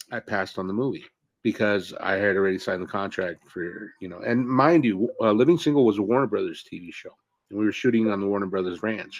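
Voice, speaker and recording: Talking at a very fast pace, a man with an American accent and a fairly low pitch shows big swings in loudness. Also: ordinary pitch variation. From San Fernando Valley, California. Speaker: actor. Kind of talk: casual interview chat. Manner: halting, many fillers.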